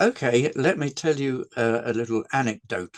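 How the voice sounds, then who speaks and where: A man speaks fairly slowly at a medium pitch with an English accent. The sound is dry and close, with no echo. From England. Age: 80s+. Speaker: game designer. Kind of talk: interview. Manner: halting.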